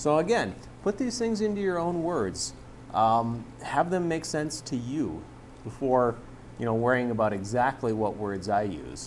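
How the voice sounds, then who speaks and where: Audible room echo accompanies a man of medium pitch whose voice swings very widely in pitch. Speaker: chemistry instructor. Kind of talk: classroom lecture. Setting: classroom with students. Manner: fast-talking; casual, conversational.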